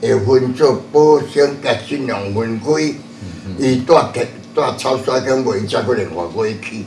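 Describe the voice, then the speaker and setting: Audible room echo and light background noise surround a man whose pitch varies in an ordinary way. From Taiwan, Chiayi area (Shuishang); Taiwan. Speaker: religious elder; interviewee. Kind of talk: interview; interview answer. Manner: halting. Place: hall.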